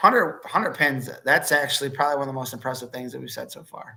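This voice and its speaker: Here a man talks at a very fast pace with a fairly high pitch and a bright, sharp tone. He has a slight Chicago accent. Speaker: wrestling podcast host. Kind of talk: casual sports chat.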